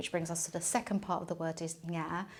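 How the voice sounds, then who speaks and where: A woman speaks with a London accent at a fairly low pitch. The recording is very clean, with a silent background. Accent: British English, London. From England. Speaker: film producer and festival director. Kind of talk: interview. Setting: office. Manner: hesitant, many fillers.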